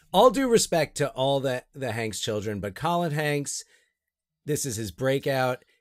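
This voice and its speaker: A man with an unremarkable speaking voice talks fairly slowly at a fairly high pitch, with lively intonation. The sound is dry and close with no echo, on a very clean recording with a silent background. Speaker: podcast host and high school teacher. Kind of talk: casual comedic chat.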